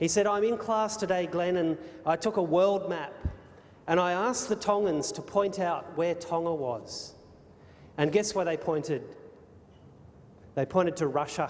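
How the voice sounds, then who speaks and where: A man with an Australian accent speaks at a moderate pace in a high pitch with ordinary pitch variation. His pauses are long and frequent, and background noise is noticeable. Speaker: speaker. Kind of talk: public talk. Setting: hotel ballroom with audience. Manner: animated.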